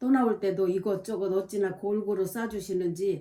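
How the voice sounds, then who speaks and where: Moderate in pace, this woman speaks at medium pitch. Her tone is dark and mellow. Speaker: diary-reading vlogger. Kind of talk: reading aloud own diary with spoken asides. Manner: hesitant, many fillers.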